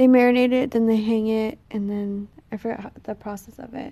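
Fairly high-pitched and dark, mellow in tone, a woman with an American accent talks at a fairly quick pace with fairly even intonation. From Texas. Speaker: podcast guest, host's girlfriend. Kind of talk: casual chat. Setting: on vacation in Hawaii.

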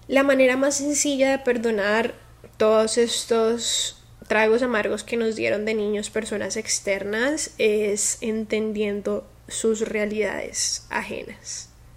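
A woman speaks at a very slow pace in a fairly high pitch, using fairly even intonation. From Colombia, Cali. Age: 20s. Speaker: podcast host. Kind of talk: personal monologue podcast.

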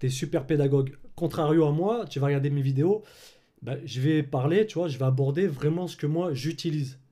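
At a moderate pace, a man speaks in a fairly high, somewhat breathy voice with a dark, mellow tone and ordinary pitch variation. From France, Clermont-Ferrand. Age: 30s. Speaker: filmmaker and colorist. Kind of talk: casual interview chat.

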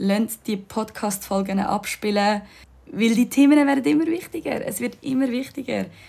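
A woman's somewhat breathy voice moves at a fairly slow pace, with ordinary pitch variation. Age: 20s. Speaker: yoga teacher and podcast host. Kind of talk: casual monologue. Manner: animated.

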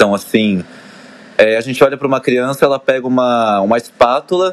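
A normal speaking voice from a man, medium in pitch, moving at a moderate speed. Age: 20s. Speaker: dancer and fitness trainer. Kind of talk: casual chat.

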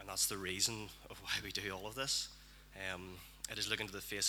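A man speaks very fast in a Northern Irish accent, his pitch fairly low and his intonation fairly even. Noticeable background noise sits behind him. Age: young. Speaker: church member. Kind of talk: prophetic word.

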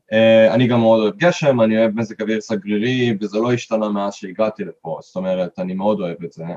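A man's fairly low voice at a fairly quick pace, with ordinary pitch variation and hardly any pauses. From Israel. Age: 30s. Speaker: hiker. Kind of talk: interview. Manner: halting.

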